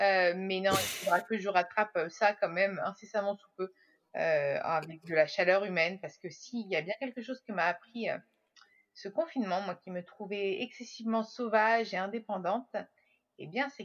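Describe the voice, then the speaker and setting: A woman speaks in a normal speaking voice at medium pitch and a moderate pace, with ordinary pitch variation and big swings in loudness. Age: 30s. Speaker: podcaster and social media consultant. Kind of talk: casual interview.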